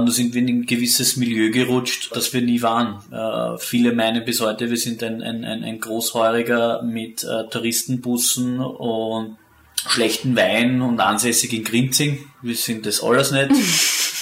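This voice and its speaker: A man speaks at a fairly slow pace in a medium pitch, with flat, monotone intonation. There is noticeable background noise. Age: young. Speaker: winemaker. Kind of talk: interview.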